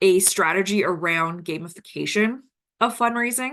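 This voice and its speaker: Over a quiet background, a bright, sharp tone carries lively intonation at a moderate pace. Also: woman. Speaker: nonprofit fundraising expert. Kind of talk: webinar Q&A. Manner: halting, many fillers.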